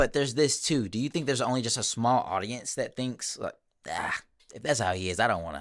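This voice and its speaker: A man with a medium pitch speaks at a fairly quick pace, with lively intonation and vocal fry. The recording is very clean, with a silent background. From Arkansas. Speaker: real estate media creator. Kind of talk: casual chat.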